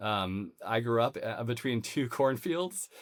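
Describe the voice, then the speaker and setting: A man talks at a medium pitch. He speaks with a Midwestern American accent. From US Midwest, Missouri countryside. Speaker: podcast host. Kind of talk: interview conversation. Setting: home office.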